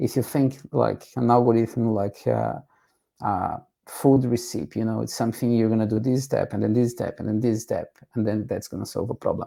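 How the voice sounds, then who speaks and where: A man with a Portuguese accent speaks at a moderate pace. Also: very clean recording, silent background. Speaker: tech educator. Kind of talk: tutorial.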